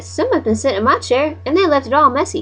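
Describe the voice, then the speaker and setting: This is a put-on character voice pitched high. It races along at a very fast pace. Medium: read story.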